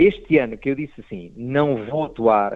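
A man speaks with ordinary pitch variation. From Portugal (Proença Nova, Algarve). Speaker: stand-up comedian. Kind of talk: casual interview.

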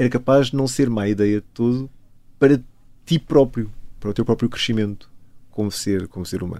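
A man speaks with a dark, mellow tone. His pitch sits at a medium level. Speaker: chemist and pianist, author. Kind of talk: interview.

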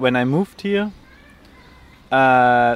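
Here a man talks with a German accent. His pitch is medium. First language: German (speaking Danish). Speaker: flat seeker. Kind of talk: interview.

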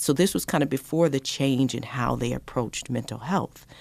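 Speaking at a moderate pace with an American accent and vocal fry, the voice comes through on a very clean recording with a silent background. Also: woman. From Colorado. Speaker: diversity and inclusion director for a city. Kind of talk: radio interview.

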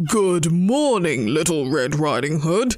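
A gruff, put-on character voice at a fairly slow pace. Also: man, fairly high pitch for a man.

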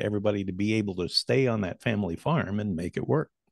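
A man with an American accent and an unremarkable speaking voice, fairly low in pitch, at a moderate pace, in a dry, close sound with no echo against a quiet background. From US Great Plains. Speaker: commodities broadcaster and former farmer. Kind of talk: casual interview conversation. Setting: home studio, remote call.

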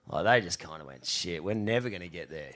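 The background is silent, and the recording is very clean. In it, a man talks with an Australian accent. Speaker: professional surfer. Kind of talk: live show storytelling. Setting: stage with audience.

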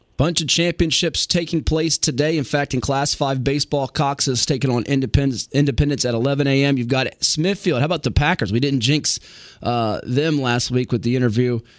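A man with an unremarkable speaking voice and a fairly high pitch talks with hardly any pauses. His pitch varies in an ordinary way. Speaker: radio host. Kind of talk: live sports radio commentary, rattling off game scores. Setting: radio studio. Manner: brisk, upbeat play-by-play style, quick score updates.

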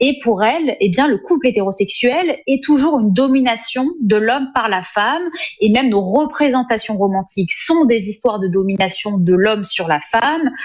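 Over noticeable background noise, a woman with a fairly high pitch and lively intonation speaks at a moderate pace, her loudness very even throughout. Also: hardly any pauses. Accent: Parisian. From France, Sarcelles (Paris suburbs). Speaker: essayist and journalist. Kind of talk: interview.

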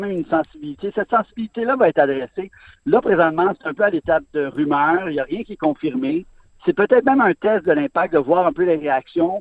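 Speaking very fast with lively intonation, a man uses a high voice. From Montreal. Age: 50s. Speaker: sports columnist. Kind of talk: radio interview.

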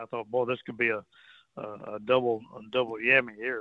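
A man speaks in a Texan accent with fairly even intonation. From Texas, Port Arthur. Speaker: fishing guide. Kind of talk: casual radio chat.

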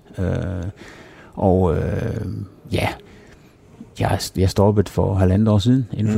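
A man talks in a fairly low pitch. His intonation stays fairly even. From Denmark, Herning (Jutland). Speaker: former professional cyclist. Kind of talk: interview. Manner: halting, many repetitions.

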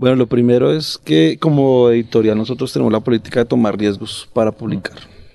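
Over noticeable background noise, a man speaks at a fairly quick pace with big swings in loudness. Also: medium pitch for a man, ordinary pitch variation, hardly any pauses. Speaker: book editor. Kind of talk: casual interview chat.

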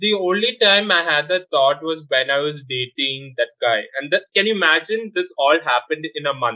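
Delivered at a moderate pace with hardly any pauses, this speech has lively intonation and a Keralan accent. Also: man. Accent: Malayali-accented Indian English. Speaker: drag performer. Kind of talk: casual interview.

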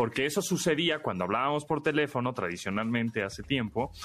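Talking at a fairly quick pace, a man speaks with vocal fry. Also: very clean recording, silent background. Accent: Mexican. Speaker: radio host. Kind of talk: radio tech talk show. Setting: radio studio.

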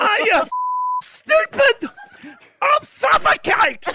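Shouting in a put-on character voice at an extremely high pitch, the speaker goes at a very slow pace while sound effects play in the background. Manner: angry, shocked yelling.

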